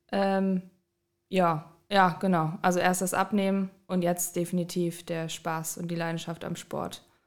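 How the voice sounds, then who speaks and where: A woman speaks at a fairly slow pace in a fairly low pitch, with monotone, flat intonation. The recording is very clean, with a silent background. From Düsseldorf, Germany. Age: 20s. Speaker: master's student and fitness coach. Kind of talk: casual interview chat.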